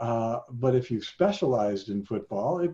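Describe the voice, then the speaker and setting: This man's voice has a dark, mellow tone and is somewhat breathy. His intonation is lively. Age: 70s. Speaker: sociology professor emeritus. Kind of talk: interview. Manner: halting.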